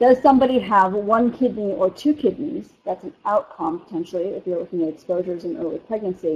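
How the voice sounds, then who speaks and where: Speaking in an American accent at a fairly quick pace with hardly any pauses, the voice shows very wide pitch swings and big swings in loudness. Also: woman, medium pitch for a woman. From US East Coast. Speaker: physician researcher lecturer. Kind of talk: lecture.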